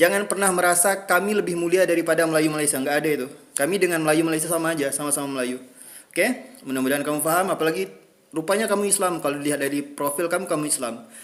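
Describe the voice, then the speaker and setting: Very fast delivery from a man, his pitch fairly high and its variation ordinary. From Riau Islands, Indonesia. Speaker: content creator responding to comments. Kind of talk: social media video monologue.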